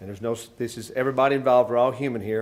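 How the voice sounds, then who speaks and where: This man has a Tennessee accent. His voice sits at a medium pitch. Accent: US Southern (Tennessee). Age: 60s. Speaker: fire department chief. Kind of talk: press conference speech. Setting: stadium press room. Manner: halting, many fillers.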